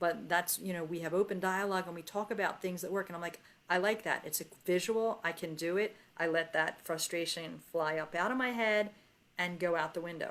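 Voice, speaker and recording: A woman with a normal speaking voice talks at a fairly quick pace, her fairly low pitch held in a fairly even intonation. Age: 60s. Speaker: interview host. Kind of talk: casual chat.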